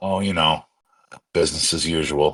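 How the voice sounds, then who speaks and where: A man puts on a raspy character voice with a very deep, low pitch. He keeps a moderate pace. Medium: actual play. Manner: easygoing, charming.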